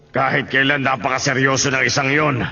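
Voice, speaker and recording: A man puts on a raspy character voice at a medium pitch. His intonation is monotone and flat, and his pace is fairly quick. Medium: fan dub. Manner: brash, taunting.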